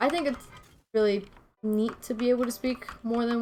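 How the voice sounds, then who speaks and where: With music in the background, a woman speaks in a relaxed tone at a fairly high pitch with fairly even intonation. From Venezuela. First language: Spanish. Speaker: streamer. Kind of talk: casual gaming stream chat. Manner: relaxed, conversational.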